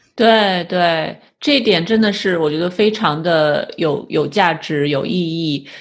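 The speech moves at a very slow pace with hardly any pauses and ordinary pitch variation, over a quiet background. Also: woman, fairly low pitch for a woman. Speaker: podcast host, clinical psychologist. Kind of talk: interview.

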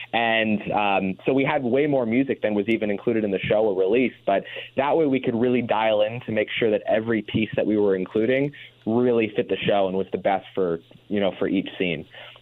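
This man has an unremarkable speaking voice with an American accent, pitched at a medium level. He talks at a fairly quick pace with ordinary pitch variation. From Indiana. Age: 20s. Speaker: filmmaker and composer. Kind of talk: radio interview.

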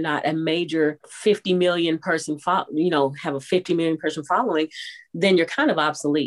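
In a plain, everyday voice, a woman speaks at a moderate pace with a fairly low pitch, and the sound is dry and close with no echo. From Texas. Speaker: voiceover artist and radio personality. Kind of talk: interview conversation.

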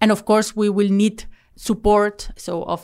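A woman speaks with a Spanish accent at medium pitch. The recording is very clean with a silent background. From Spain. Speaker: startup founder and CEO. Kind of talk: interview. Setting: studio.

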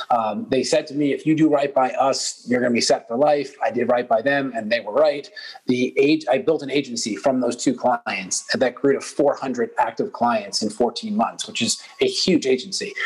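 A man's fairly high voice with very wide pitch swings, a moderate pace, hardly any pauses, and noticeable background noise. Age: 30s. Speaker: entrepreneur. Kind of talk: interview.

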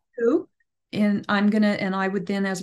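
Against a quiet background, a woman with a plain, everyday voice talks at a medium pitch and a moderate pace. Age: 50s. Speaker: professional genealogist. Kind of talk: casual chat.

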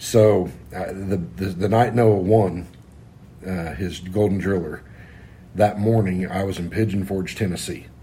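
A dark, mellow, somewhat breathy voice at a fairly slow pace, with fairly even intonation, long, frequent pauses and audible room echo. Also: man, very deep, low pitch for a man. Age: 40s. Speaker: racing crew member. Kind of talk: casual chat. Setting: condo.

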